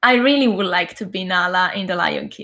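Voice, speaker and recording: A woman with an Italian accent speaks with ordinary pitch variation. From Italy (Sicily). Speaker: actor, singer and vocal coach. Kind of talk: interview.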